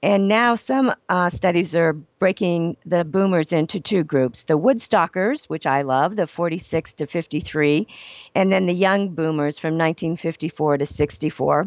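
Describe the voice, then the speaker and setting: A woman's fairly low voice at a moderate pace, with ordinary pitch variation and a normal speaking voice. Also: hardly any pauses. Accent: American. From Ohio. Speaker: business etiquette consultant and trainer. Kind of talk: radio interview.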